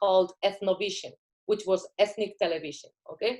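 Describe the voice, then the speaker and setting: Medium pitch from a woman with a Spanish accent. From Spain. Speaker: filmmaker. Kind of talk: interview.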